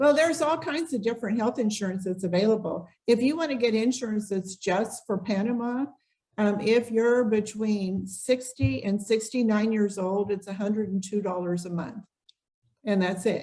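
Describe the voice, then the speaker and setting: Speaking at a moderate pace, a woman has a medium pitch, a dark, mellow tone, a somewhat breathy quality and ordinary pitch variation. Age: 60s. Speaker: relocation tour business owner. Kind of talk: podcast interview.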